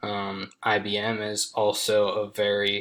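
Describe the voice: A man talks at a fairly low pitch. His tone is fairly bright.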